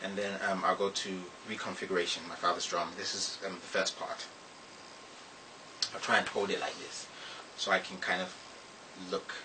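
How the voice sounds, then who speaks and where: Noticeable background noise sits behind a man speaking at a fairly quick pace. He takes long, frequent pauses. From Ghana. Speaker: poet. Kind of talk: casual introduction to audience.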